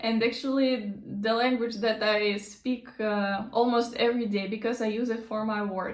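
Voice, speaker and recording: A woman speaks with a Russian accent at a fairly high pitch and a moderate pace. Audible room echo surrounds her voice. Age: 20s. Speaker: language teacher. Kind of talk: casual vlog talk. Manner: halting, many fillers.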